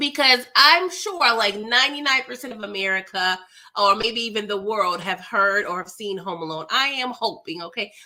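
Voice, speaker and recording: Animated in tone with lively intonation, the voice moves at a moderate pace with big swings in loudness over noticeable background noise. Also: woman, fairly high pitch for a woman. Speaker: film recap youtuber. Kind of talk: movie recap and review. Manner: animated, conversational.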